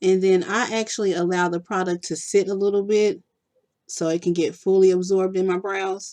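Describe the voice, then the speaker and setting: With a Texan accent, a woman speaks fairly quickly at a medium pitch in a flat, monotone delivery. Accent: country-sounding Texan. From Texas. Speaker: beauty vlogger. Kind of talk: makeup tutorial. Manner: casual, chatty.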